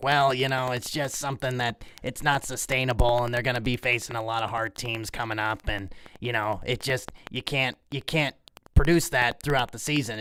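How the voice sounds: A man uses a put-on character voice that is raspy and medium in pitch. He keeps a moderate pace and fairly even intonation.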